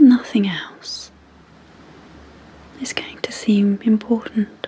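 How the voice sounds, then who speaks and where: Very slowly and in a calm tone, a woman with a British accent speaks with fairly even intonation and a fairly high pitch over noticeable background noise. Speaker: clinical psychologist and hypnotherapist. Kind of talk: sleep hypnosis. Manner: slow, calm.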